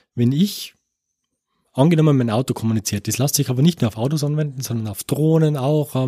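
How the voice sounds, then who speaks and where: With a dark, mellow tone at a medium pitch, a man talks at a fairly quick pace with ordinary pitch variation, in a dry, close sound with no echo on a very clean recording with a silent background. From Austria, Tyrol. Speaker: computer science professor. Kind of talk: interview. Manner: many filler sounds, repeats words.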